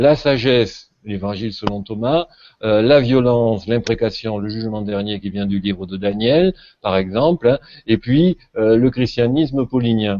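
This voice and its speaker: With a southern French accent, a man talks at a fairly slow pace, his medium pitch showing ordinary variation. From southern France. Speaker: religion scholar. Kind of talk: panel discussion. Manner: hesitant, many fillers.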